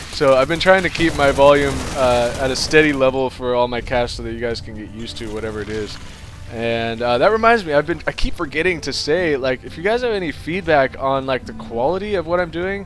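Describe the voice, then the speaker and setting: Over music in the background, the speech runs at a fairly quick pace with lively intonation and big swings in loudness. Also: man. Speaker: game commentator. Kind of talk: live game commentary. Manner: animated, excitable; rambling with many fillers.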